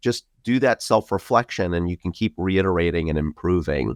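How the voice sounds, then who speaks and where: A New York accent in a dry, close sound with no echo, on a very clean recording with a silent background. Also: man. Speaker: podcast host, IT company co-founder. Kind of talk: interview conversation. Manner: talkative.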